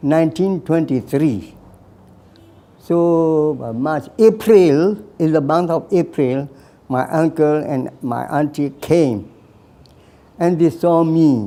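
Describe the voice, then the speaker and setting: At a very slow pace with long, frequent pauses, a man speaks in a dark, mellow tone. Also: fairly high pitch for a man, ordinary pitch variation. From Burma (Karen area). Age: 80s+. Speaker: war veteran. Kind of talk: life story interview. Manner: halting.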